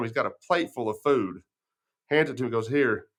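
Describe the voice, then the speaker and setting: Against a quiet background, the speaker goes at a very fast pace in a West Texas accent with fairly even intonation. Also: man. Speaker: podcast host. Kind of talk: casual interview chat.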